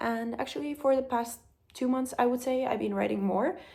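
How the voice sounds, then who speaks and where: A woman talks at a moderate pace with a Finnish accent. Her voice is fairly high, with ordinary pitch variation. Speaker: vlogger. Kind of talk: casual vlog talk. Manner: hesitant, many fillers.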